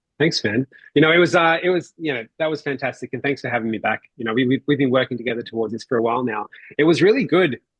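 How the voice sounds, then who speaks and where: A man with an Australian accent talks at a very fast pace with a medium pitch. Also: ordinary pitch variation. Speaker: mortgage strategy presenter. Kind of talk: online workshop presentation.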